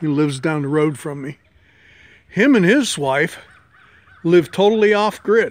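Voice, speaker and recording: The man has a relaxed tone and a high pitch with lively intonation. He speaks at a moderate pace. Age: 60s. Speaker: homesteader. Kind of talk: casual vlog talk. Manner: relaxed, halting with fillers.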